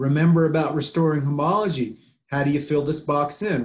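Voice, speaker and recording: A man with an American accent talks at a fairly high pitch, somewhat breathy, his loudness swinging widely. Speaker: biology professor. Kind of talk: lecture. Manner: casual, conversational.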